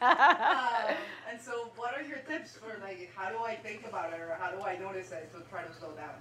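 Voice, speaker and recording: A woman's fairly high-pitched voice with lively intonation, amid audible room echo and noticeable background noise. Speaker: audience member. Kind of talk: audience question. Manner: fast.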